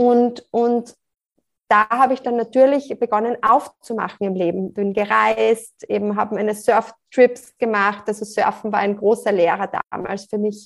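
A woman talks in a plain, everyday voice at a fairly slow pace. Her pitch is fairly high and her intonation fairly even. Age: 40s. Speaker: life coach. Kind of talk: interview.

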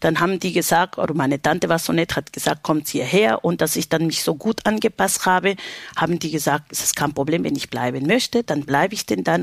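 Fairly quick speech with a Spanish accent and ordinary pitch variation, dry and close with no echo, over noticeable background noise. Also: woman. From Peru, Lima. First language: Spanish (speaking German). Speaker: baker and union representative. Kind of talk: interview.

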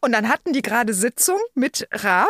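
Her high-pitched voice swings very widely in pitch at a moderate pace, the sound dry and close with no echo. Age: 50s. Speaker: podcast co-host. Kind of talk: casual chat.

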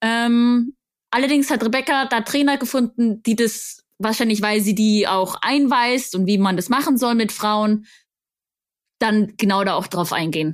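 A plain, everyday voice from a woman, fairly high in pitch with lively intonation, on a very clean recording with a silent background. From Bavaria, Augsburg. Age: 20s. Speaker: mountain bike coach and influencer. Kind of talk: casual interview.

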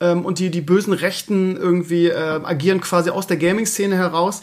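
A man's voice, high in pitch. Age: 40s. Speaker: podcast host. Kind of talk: casual chat.

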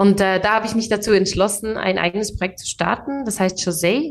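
Here is an ordinary speaking voice. The pitch rises and falls in an ordinary way. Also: woman. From Switzerland, Biel. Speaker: tech account manager and founder. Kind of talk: interview.

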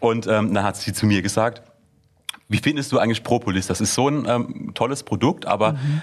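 This is a plain, everyday voice, moving at a moderate pace and varying in pitch in an ordinary way. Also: man, medium pitch for a man. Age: 20s. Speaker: startup founder. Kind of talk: interview.

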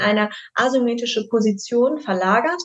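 With a fairly high pitch and ordinary pitch variation, a woman talks in a plain, everyday voice. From Düsseldorf, Germany. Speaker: face yoga teacher. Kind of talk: podcast interview.

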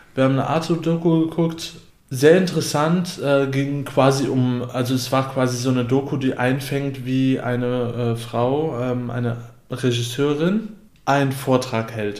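A man speaks at a medium pitch with ordinary pitch variation and a fairly slow pace. Audible room echo surrounds his voice. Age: 20s. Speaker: podcast co-host. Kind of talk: casual chat.

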